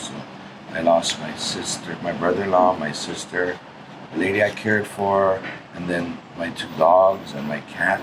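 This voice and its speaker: With a Hawaiian accent, a man talks at a moderate pace in a very deep, low pitch. Room echo is audible, and background noise is noticeable. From Hawaii (Kaneohe, Oahu). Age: 60s. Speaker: Native Hawaiian community activist. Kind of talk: interview.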